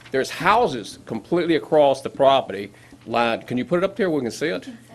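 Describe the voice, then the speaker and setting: A man speaks fairly quickly in a fairly high voice with very wide pitch swings. Noticeable background noise runs beneath him. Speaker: resident speaking at public hearing. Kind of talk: public comment at government meeting. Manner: passionate.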